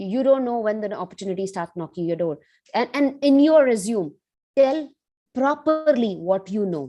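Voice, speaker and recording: A woman with an Indian accent, a dark, mellow tone and very wide pitch swings. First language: Hindi. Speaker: cybersecurity professional, guest speaker. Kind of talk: motivational talk. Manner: animated.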